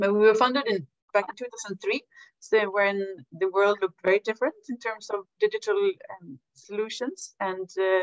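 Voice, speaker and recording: A woman's voice comes through dry, with no echo, over a quiet background. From Sweden. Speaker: health foundation director; presenter. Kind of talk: webinar presentation. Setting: video call. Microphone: video call.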